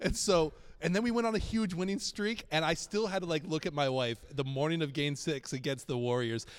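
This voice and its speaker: An ordinary speaking voice from a man, fairly high in pitch, with lively intonation, very even loudness, a fairly quick pace and a very clean recording with a silent background. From Boston area, New England. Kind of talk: casual chat.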